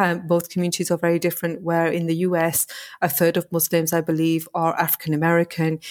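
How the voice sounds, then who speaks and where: Very fast-paced woman with a northern English accent, dry, close sound with no echo. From northern England, small working-class town. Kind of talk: interview.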